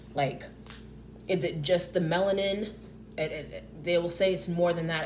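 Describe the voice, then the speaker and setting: Speaking with an American accent, a woman uses a fairly low, somewhat breathy voice at a moderate pace. Her intonation is fairly even, and audible room echo surrounds her. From US South. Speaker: YouTuber. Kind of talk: casual monologue vlog. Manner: halting, many fillers and restarts.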